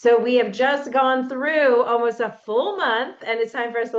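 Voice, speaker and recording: The speaker is a woman. She shows ordinary pitch variation. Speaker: business coach. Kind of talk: live workshop facilitation. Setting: livestreamed video session. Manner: fast and loud at the start.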